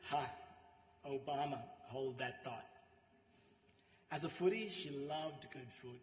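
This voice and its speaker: A man talks at a fairly slow pace in a fairly high, somewhat breathy voice, with long, frequent pauses and big swings in loudness. His pitch varies in an ordinary way, and there is audible room echo. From Sri Lanka. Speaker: friend giving eulogy. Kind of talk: eulogy.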